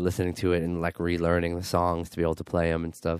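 A man with a very deep, low voice and an American accent, at a very fast pace on a very clean recording with a silent background. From Queens, New York. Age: 20s. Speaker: punk band singer. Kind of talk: casual interview.

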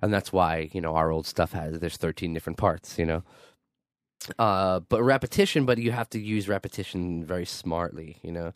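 The speaker talks at a fairly quick pace in a New York accent, the sound dry and close with no echo. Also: man, very deep, low pitch for a man, ordinary pitch variation, very clean recording, silent background. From Queens, New York. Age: 20s. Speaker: punk band singer. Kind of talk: casual interview.

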